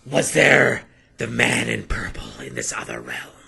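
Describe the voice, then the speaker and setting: A man puts on a character voice, raspy and very deep. He keeps a moderate pace while his loudness swings widely. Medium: actual play. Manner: intense, suspicious.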